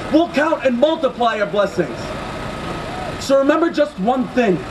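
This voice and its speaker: With an animated tone, a man talks at a fairly quick pace amid noticeable background noise. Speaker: spoken word poet. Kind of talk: spoken word poetry performed at a protest, rhythmic and rhyming with crowd call-outs. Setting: outdoors at a rally with crowd. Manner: animated, forceful, rhythmic delivery; impassioned, fast-paced with punchy rhymes. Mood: angry, defiant. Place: street. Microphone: handheld.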